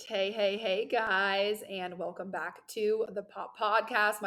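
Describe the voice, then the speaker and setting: In a put-on character voice, a woman speaks raspy and monotone at a fairly slow pace, with flat intonation and a medium pitch. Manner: welcoming.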